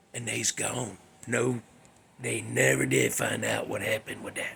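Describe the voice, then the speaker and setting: A man uses a raspy, put-on character voice. He speaks at a moderate pace. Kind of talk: campfire ghost story. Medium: solo performance. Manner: rambling, conversational, full of fillers.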